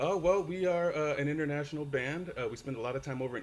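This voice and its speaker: A man with an American accent speaks fairly quickly. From California, San Francisco Bay Area. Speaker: worship musician. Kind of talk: casual interview chat. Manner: halting with many fillers.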